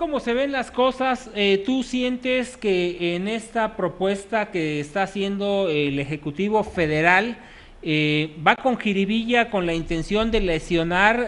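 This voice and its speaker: Very slowly, a man with a high pitch talks, his pitch varying in an ordinary way. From Mexico. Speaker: news show host. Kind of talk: phone interview. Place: studio. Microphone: handheld.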